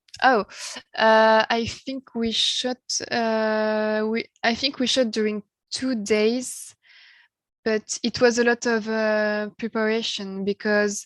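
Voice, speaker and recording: A woman with a French accent speaks at a fairly high pitch in a monotone, flat intonation. Her pace is very slow, and the recording is very clean with a silent background. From France. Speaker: musician. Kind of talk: interview. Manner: halting, many hesitations.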